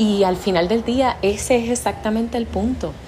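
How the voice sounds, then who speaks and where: A woman speaks over noticeable background noise. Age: 30s. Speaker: public relations agency owner. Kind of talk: solo monologue podcast. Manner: hesitant with fillers.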